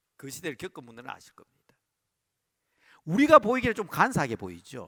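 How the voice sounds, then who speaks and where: Pausing long and often, a man with a high voice and a bright, sharp tone talks at a fairly quick pace, with big swings in loudness and very wide pitch swings. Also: dry, close sound with no echo. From Busan, South Korea. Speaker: pastor. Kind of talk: sermon. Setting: church service, livestreamed.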